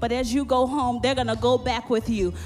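Music plays in the background as a woman talks. Her pitch is high and her pace moderate. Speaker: preacher delivering prophetic words. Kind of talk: charismatic prophetic ministry, sermon.

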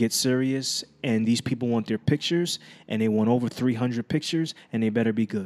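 A man's medium-pitched voice at a fairly quick pace, with very even loudness and ordinary pitch variation. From Brooklyn, New York, moved to New Jersey as a teen. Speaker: professional photographer. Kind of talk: casual chat.

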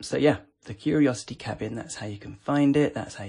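This man talks at a fairly quick pace in a dark, mellow tone with vocal fry and ordinary pitch variation. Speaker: podcast host reviewing voice assistant skills. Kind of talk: casual chat, informal review. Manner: chatty, playful, relaxed.

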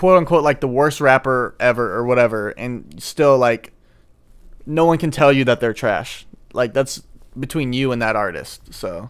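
A man with an American accent has a normal speaking voice at a medium pitch, with ordinary pitch variation. He speaks at a moderate pace in a very clean recording with a silent background. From St. Louis, Missouri. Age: 20s. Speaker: college podcast co-host. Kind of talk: casual chat.

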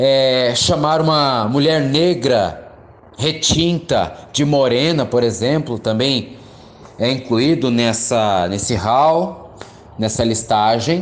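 Very slowly, a man talks at a medium pitch with ordinary pitch variation and very even loudness. Audible room echo and noticeable background noise are in the recording. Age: 20s. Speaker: geography teacher. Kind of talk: lecture.

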